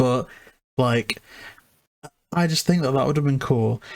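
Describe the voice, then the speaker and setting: A man with a British accent speaks at a medium pitch. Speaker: movie podcast co-host. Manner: casual, joking.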